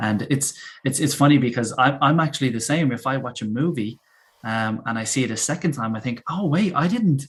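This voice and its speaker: A man with a somewhat breathy voice speaks at a fairly quick pace, his medium pitch varying in an ordinary way. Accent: Dublin. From Ireland, Dublin. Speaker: English teacher. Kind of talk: casual chat. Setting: live stream.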